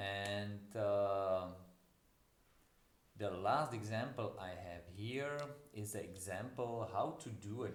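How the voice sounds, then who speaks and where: With a non-native accent, a man speaks at a fairly low pitch with ordinary pitch variation amid audible room echo. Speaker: university lecturer. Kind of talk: lecture. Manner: halting.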